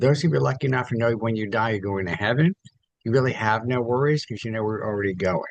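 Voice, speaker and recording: At a very fast pace, a man speaks with lively intonation. His pitch is medium. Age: 70s. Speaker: accountant. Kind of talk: casual chat. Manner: animated.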